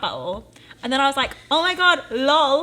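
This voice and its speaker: The intonation is lively over noticeable background noise. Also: woman. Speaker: podcast co-host. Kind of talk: casual chat. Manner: fast.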